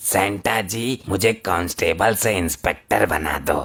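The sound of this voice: A man puts on a cartoonish character voice that is raspy and fairly low in pitch, delivered at a fairly slow pace.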